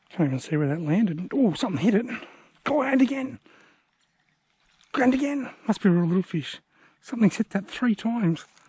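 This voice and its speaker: A man with an Australian accent speaks at a fairly quick pace in a high, dark, mellow voice. His pitch swings very widely, and he leaves long, frequent pauses. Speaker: angler. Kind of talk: live fishing commentary. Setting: outdoors.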